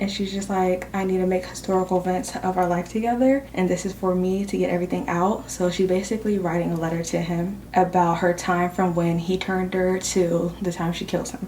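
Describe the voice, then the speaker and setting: Whispering at a fairly quick pace with hardly any pauses, the speaker is heard over noticeable background noise. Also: woman. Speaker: booktuber vlogger. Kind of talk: casual vlog chat. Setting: at work.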